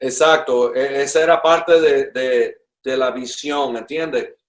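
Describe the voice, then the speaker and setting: A man talks at a very slow pace in a fairly high voice. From Puerto Rico (Ponce family), born in Cuba. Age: 60s. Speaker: drummer. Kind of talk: interview conversation. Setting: at his home.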